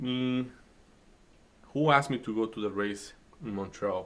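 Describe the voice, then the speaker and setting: A man with a Spanish accent talks at a moderate pace in a bright, sharp tone. He takes long, frequent pauses. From Dominican Republic. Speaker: day trading streamer. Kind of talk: casual chat during live trading stream. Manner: hesitant, many fillers.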